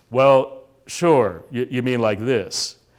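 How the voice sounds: A man's resonant, put-on character voice at a medium pitch, on a very clean recording with a silent background.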